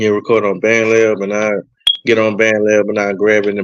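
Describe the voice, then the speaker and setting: With a Louisiana accent, a man speaks at a moderate pace and a fairly low pitch. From North Louisiana, US South. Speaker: music producer. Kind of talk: radio interview. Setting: radio show. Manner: halting.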